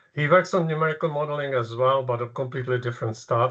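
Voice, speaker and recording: Over a quiet background, a man with a Czech accent speaks with fairly even intonation. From Czechoslovakia. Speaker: professor. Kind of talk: lecture. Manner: halting.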